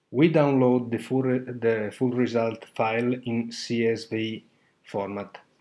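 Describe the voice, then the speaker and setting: Speaking fairly slowly, a man uses a medium pitch and a monotone, flat delivery. He has a non-native accent. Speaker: online course student. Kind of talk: tutorial. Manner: halting, many fillers.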